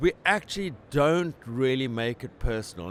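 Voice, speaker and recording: Intonation is lively, delivered with a South African accent. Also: man. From South Africa, Cape Town. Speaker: company president. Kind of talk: interview. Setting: trade conference. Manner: animated.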